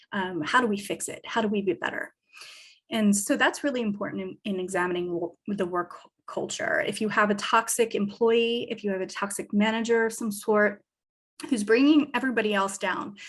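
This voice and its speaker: A woman's somewhat breathy voice at a fairly high pitch and fairly quick pace, with ordinary pitch variation and a quiet background. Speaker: business advisor. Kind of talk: lecture.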